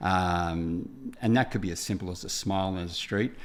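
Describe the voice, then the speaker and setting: At a moderate pace, a man with an Australian accent speaks at a fairly low pitch. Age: 60s. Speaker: builder, TV presenter and speaker. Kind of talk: podcast interview. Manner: halting.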